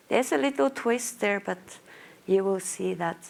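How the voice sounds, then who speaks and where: The speaker is a woman with a Finnish accent. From Finland, small town in Lapland. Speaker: marketing manager, conference speaker. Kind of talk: conference presentation. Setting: stage with audience.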